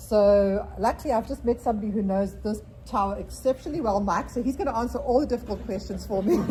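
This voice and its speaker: Hardly any pauses break up the speech. The pace is very fast. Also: woman. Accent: South African. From South Africa. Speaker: real estate agent. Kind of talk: property presentation at a real estate meeting.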